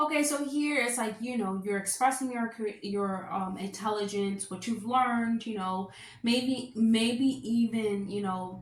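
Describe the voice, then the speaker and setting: Over noticeable background noise and audible room echo, a woman with a fairly high pitch and ordinary pitch variation speaks at a fairly slow pace with hardly any pauses. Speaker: astrologer. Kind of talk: horoscope reading monologue. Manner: loud; casual, filler-heavy.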